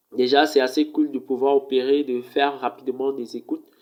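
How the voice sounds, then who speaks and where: Moderate pace from a man, intonation monotone and flat. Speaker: tech reviewer, video presenter. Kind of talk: casual review talk to camera. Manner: hesitant, many fillers.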